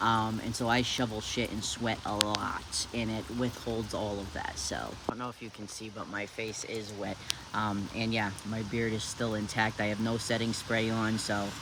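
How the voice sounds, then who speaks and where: In an American accent, a man speaks at fairly low pitch with monotone, flat intonation, amid audible room echo and noticeable background noise. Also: moderate pace. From New Hampshire, US. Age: 30s. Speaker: vlogger, poultry farmer. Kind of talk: casual vlog tutorial. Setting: indoors at home, partly in shower. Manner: casual, hesitant with many fillers.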